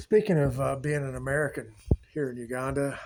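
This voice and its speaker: A man talks in a Southern US accent, keeping to a moderate pace. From US South, Tennessee. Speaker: vlogger. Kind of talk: travel vlog monologue. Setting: indoors, power out. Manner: hesitant, many filler words.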